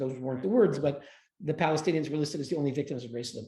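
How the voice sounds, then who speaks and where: A man's fairly high, somewhat breathy voice with a dark, mellow tone and ordinary pitch variation. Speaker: human rights advocate. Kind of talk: interview. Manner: fast.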